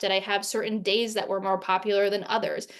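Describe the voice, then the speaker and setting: Against a quiet background, a woman speaks fairly quickly at a fairly high pitch. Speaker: webinar presenter. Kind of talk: webinar presentation. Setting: online webinar. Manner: fast. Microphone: video call.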